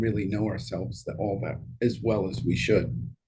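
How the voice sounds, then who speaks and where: A man with an American accent speaks in a dark, mellow, somewhat breathy voice with fairly even intonation. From New York. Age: 60s. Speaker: leadership advisor. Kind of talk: interview.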